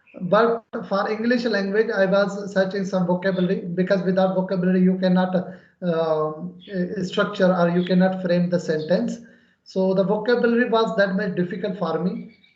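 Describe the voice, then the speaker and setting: In a Pakistani accent, a man speaks at a moderate pace with a high pitch. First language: Urdu. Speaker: English conversation channel host. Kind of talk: English practice conversation.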